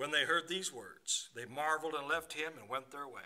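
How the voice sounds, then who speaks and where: A man talks at a fairly quick pace in a bright, sharp tone. The background is quiet. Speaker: preacher. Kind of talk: scripture reading and prayer. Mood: reverent, quiet prayer. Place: church. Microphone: podium.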